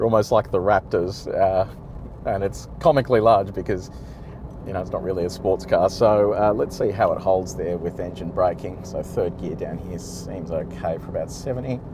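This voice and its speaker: A man talks at a moderate pace with an Australian accent. His loudness swings widely over noticeable background noise. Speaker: car reviewer. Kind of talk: driving commentary. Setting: in a car towing a trailer. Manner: casual, hesitant with fillers.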